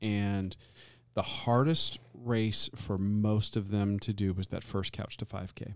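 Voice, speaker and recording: Fairly even in intonation, this speaker goes at a very slow pace in an American accent. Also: man, fairly low pitch for a man. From Tampa, Florida. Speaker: podcast co-host. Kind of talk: casual chat.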